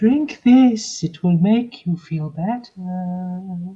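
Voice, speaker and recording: A put-on character voice at a middle pitch, delivered at a very slow pace. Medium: actual play.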